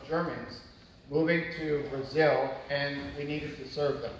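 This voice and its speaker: Over noticeable background noise, a man speaks at a fairly slow pace and fairly high pitch with fairly even intonation. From Canada. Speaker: missionary. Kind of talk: church mission presentation. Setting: church.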